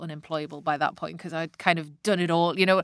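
Speaking very fast in a Northeast English accent, a woman with a fairly low pitch and a bright, sharp tone keeps a monotone, flat intonation over a dry, close sound with no echo. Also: very clean recording, silent background. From Northeast England. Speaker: sales consultant and author. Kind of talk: interview. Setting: studio.

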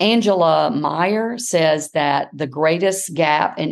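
A woman talks in a normal speaking voice, pitched fairly low. Her pitch varies in an ordinary way. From US South, South Carolina. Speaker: education professor. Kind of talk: interview.

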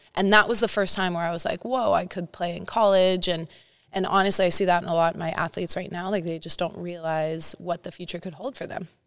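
In a Californian accent, a woman speaks at a very fast pace with a fairly low pitch and fairly even intonation on a very clean recording with a silent background. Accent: Californian American. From Northern California, Santa Cruz area. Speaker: high school volleyball coach. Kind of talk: interview.

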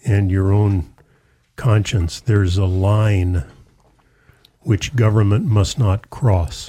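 A man speaks very slowly in a fairly low pitch, his dark, mellow tone somewhat breathy. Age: 60s. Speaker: pastor. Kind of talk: religious discussion show.

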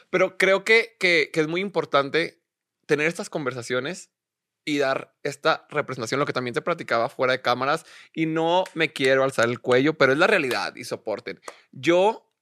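A man's fairly high, bright, sharp voice with lively intonation at a moderate pace, in a dry, close, very clean recording with a silent background and no echo. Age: 30s. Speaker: podcast host. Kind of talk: casual interview.

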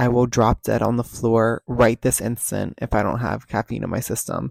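With an American accent, a man speaks at a medium pitch. The recording is very clean with a silent background, and the sound is dry and close with no echo. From New Jersey. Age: 20s. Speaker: podcast host, college student. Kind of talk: casual solo monologue. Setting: home basement studio.

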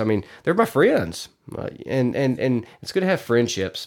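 With a Southern US accent, a man talks in an animated tone at a moderate pace. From Arkansas. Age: 30s. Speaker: podcast host. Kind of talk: casual monologue.

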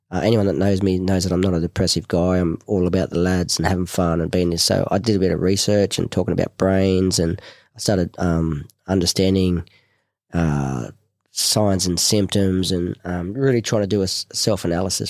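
A man with an Australian accent and a very deep, low pitch, fairly quick and fairly even in intonation, his loudness very even, the sound dry and close with no echo on a very clean recording with a silent background. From Newcastle, New South Wales, Australia. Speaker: war veteran. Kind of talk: casual chat. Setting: studio.

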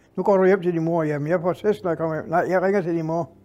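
A man speaks at a high pitch and a fairly quick pace, with ordinary pitch variation. Music plays in the background. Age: 80s+. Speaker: retiree telling war memories. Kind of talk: storytelling interview.

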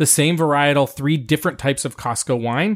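Talking at a very fast clip, this man has an American accent and a fairly high voice with ordinary pitch variation, recorded very cleanly against a silent background. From US, Italian American family. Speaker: wine podcast host. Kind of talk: casual chat and wine tasting review. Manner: animated.

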